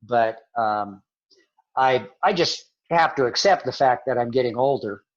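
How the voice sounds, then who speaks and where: Against a quiet background, a man talks in a plain, everyday voice at medium pitch, with a fairly slow pace and ordinary pitch variation. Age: 60s. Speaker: missionary. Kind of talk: interview.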